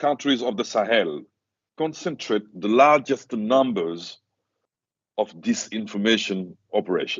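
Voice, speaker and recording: Speaking with a non-native accent, a man keeps a medium pitch and lively intonation. His pace is fairly slow. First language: not English. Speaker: conference panelist. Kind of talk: conference presentation. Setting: university seminar with audience. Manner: halting, many fillers.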